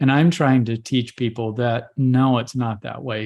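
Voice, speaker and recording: A man speaks at a fairly slow pace in an ordinary speaking voice, with medium pitch, fairly even intonation and a quiet background. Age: 60s. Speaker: holistic doctor. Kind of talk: interview.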